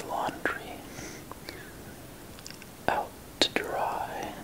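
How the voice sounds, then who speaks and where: Someone is whispering, soft-spoken. Noticeable background noise sits behind the voice. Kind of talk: casual commentary. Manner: soft ASMR whisper.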